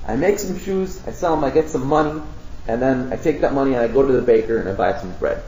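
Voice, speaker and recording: A man talks very fast with lively intonation and a fairly high pitch. Audible room echo and noticeable background noise fill the recording. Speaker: lecturer presenting at a conference. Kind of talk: lecture.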